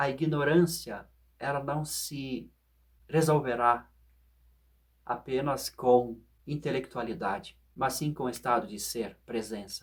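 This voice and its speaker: Speaking at a very slow pace with long, frequent pauses, a man sounds somewhat breathy and uses ordinary pitch variation. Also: medium pitch for a man. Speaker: philosophy and meditation video host. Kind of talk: reflective monologue.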